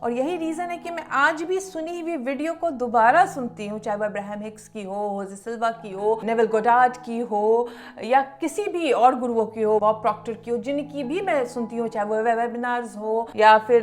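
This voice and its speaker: A fairly high-pitched woman's voice in a Bihari accent, with lively intonation, a moderate pace, hardly any pauses, and noticeable background noise. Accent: Bihari tone in her Hindi. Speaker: law of attraction teacher and YouTuber. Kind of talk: motivational talk to camera.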